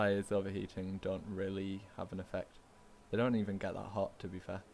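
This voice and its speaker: A man with a northern English accent talks at a moderate pace, his fairly low voice flat and monotone. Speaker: sim racing gamer. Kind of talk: casual chat.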